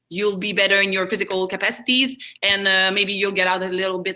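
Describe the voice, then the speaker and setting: Her tone comes across as bright and sharp. The woman's voice sits at a medium pitch. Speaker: karate instructor. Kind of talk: fitness class instruction.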